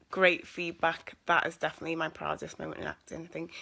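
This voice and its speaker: On a very clean recording with a silent background, a woman with a Scouse accent talks at a fairly quick pace in a fairly low pitch, her tone bright and sharp. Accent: mild Scouse. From Liverpool, England. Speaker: actress. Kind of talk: live Q&A stream. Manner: casual, hesitant with fillers.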